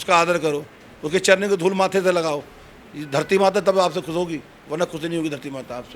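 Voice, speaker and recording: A man's high-pitched, animated voice at a moderate pace, with ordinary pitch variation. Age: 60s. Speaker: dairy farmer. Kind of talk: street interview.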